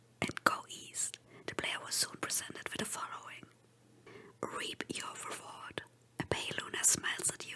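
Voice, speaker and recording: A whisper at a moderate pace over noticeable background noise. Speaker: VTuber. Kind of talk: horror story reading. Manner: whispered.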